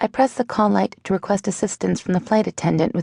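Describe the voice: The clip consists of plain reading aloud.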